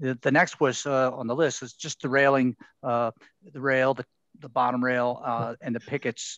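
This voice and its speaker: A man's medium-pitched voice in a Baltimore accent, flat and monotone, at a moderate pace with big swings in loudness. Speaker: city preservation staff planner. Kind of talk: public board meeting discussion. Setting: video call webinar. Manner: halting, many fillers.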